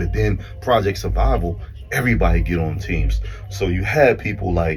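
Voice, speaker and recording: A man in a Baltimore accent speaks in an animated tone at a very deep, low pitch and moderate pace, with very wide pitch swings, music in the background and audible room echo. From Baltimore, US. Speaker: podcast guest, former basketball player. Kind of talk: casual chat. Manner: animated storytelling.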